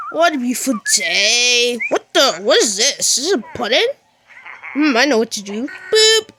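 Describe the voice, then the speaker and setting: In a cartoonish character voice, a woman speaks at a moderate pace with a high pitch and very wide pitch swings. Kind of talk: comic overacting. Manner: giggly, playful.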